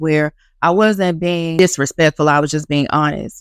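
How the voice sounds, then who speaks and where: A woman with a very deep, low pitch speaks in a calm tone at a moderate pace. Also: dry, close sound with no echo. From US, Miami. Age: 30s. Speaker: YouTube commentator. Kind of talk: casual monologue.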